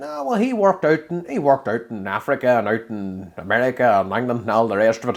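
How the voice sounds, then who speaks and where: Speaking very fast with lively intonation, a man at a medium pitch has a strong Derry accent. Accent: thick Derry. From Northern Ireland (Derry). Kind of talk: podcast interview answer.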